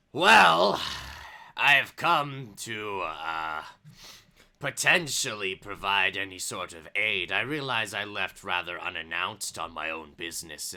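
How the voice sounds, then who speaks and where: Here is a put-on character voice moving at a fairly slow pace. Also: man, fairly low pitch for a man. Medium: actual play. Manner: formal, blunt.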